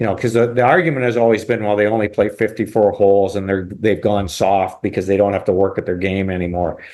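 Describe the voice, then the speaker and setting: An unremarkable speaking voice, this man's sits at a fairly low pitch with fairly even intonation. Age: 60s. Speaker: golf pro. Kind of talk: casual chat.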